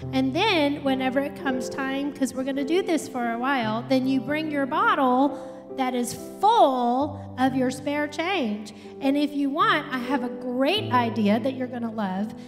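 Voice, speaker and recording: With clear music in the background, a woman speaks at a moderate pace in a high voice with ordinary pitch variation. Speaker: speaker. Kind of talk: announcements to congregation. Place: church. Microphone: handheld.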